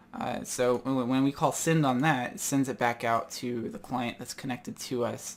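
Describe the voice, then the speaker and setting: A man speaks at a moderate pace in medium pitch with a plain, everyday voice. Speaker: programming tutor. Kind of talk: screen-recorded coding tutorial. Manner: casual, with many fillers.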